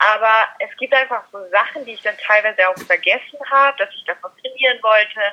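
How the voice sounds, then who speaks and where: A woman with a fairly high pitch talks at a fairly quick pace with hardly any pauses and ordinary pitch variation. Her loudness swings widely, and there is noticeable background noise. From Austria. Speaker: dog trainer. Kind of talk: interview.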